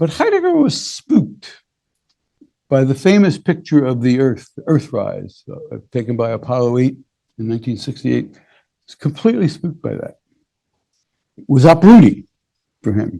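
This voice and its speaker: This man's voice is fairly high-pitched, somewhat breathy and dark and mellow in tone, with lively intonation and big swings in loudness. He keeps a moderate pace broken by long, frequent pauses. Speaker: professor emeritus of philosophy and religion. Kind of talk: lecture.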